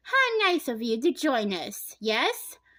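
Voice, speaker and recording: A put-on character voice from a woman, high-pitched with very wide pitch swings, at a fairly slow pace. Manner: sugary, polite.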